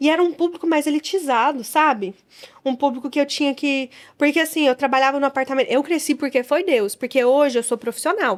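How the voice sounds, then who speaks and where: The voice has an animated tone, a moderate pace and ordinary pitch variation. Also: woman. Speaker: beauty business owner. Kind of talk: interview conversation.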